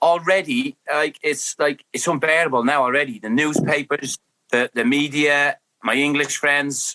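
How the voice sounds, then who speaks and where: The voice has a bright, sharp tone and an Irish accent. It moves at a moderate pace in a dry, close sound with no echo. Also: man, fairly high pitch for a man. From Ireland. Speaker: former footballer. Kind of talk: casual chat. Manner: animated.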